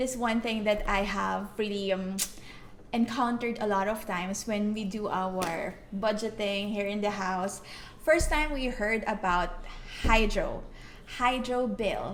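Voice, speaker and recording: Through noticeable background noise and audible room echo, a woman talks at a fairly slow pace. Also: fairly high pitch for a woman, ordinary pitch variation. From Philippines. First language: Filipino (Tagalog). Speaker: vlogger. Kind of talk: casual chat.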